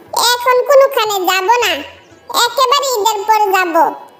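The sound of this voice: A woman's squeaky, cartoonish character voice at an extremely high pitch, moderate pace, with music in the background.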